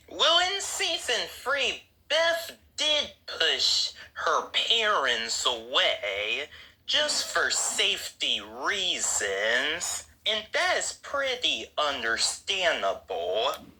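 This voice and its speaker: A woman's very slow speech comes through noticeable background noise. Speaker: YouTube commentator. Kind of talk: casual commentary.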